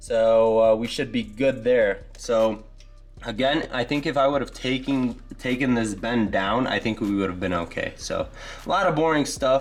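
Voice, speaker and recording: The recording has audible room echo. A man speaks at a moderate pace. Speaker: car builder and video host. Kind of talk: casual garage walkthrough. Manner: halting, many fillers.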